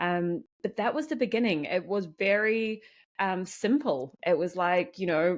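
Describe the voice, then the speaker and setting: A fairly slow, lively-intoned voice with a New Zealand accent, in a very clean recording with a silent background. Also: woman, medium pitch for a woman. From New Zealand, small farming town. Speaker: community founder. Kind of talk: podcast interview.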